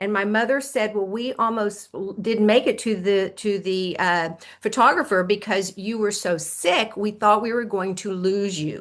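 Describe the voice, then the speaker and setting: Against a quiet background, a woman with an American accent talks at a moderate pace with a medium pitch, ordinary pitch variation and hardly any pauses. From US South. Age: 60s. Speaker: health coach. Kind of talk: interview testimony. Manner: animated.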